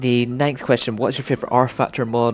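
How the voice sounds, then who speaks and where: Over noticeable background noise, a man speaks with a Scottish accent. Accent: soft Scottish. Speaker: gaming and racing YouTuber. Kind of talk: Q&A video monologue. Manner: casual, hesitant with fillers.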